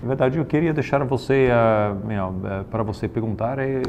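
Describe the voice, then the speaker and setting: A man's voice with ordinary pitch variation. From Italy. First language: Italian (speaking Portuguese). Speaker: investment bank executive. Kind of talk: informal talk with students, Q&A. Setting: company office. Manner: halting, many fillers.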